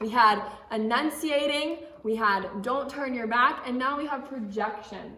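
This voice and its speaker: Loud and with lively intonation, a high-pitched woman speaks at a fairly slow pace amid audible room echo and noticeable background noise. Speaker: camp drama instructor. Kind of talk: teaching kids a drama skill lesson. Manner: loud and clear, projecting; casual, with filler words.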